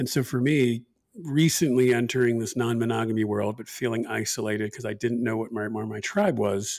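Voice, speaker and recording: Here is a man with an ordinary speaking voice. His intonation is fairly even and his pace moderate. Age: 40s. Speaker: podcast co-host, former programmer. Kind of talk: casual chat.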